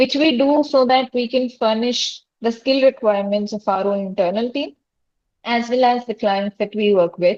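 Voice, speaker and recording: The woman's voice sits fairly high. Her pitch varies in an ordinary way. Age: 20s. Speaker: robotics startup founder. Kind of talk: webinar talk. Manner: fast.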